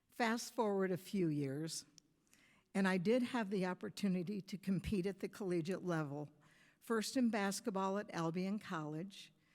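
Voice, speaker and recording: A speaker with a US Midwestern accent and ordinary pitch variation. The recording is very clean, with a silent background. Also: woman, medium pitch for a woman, moderate pace. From US Midwest, Michigan. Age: 70s. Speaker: softball coach, hall of fame inductee. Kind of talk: acceptance speech.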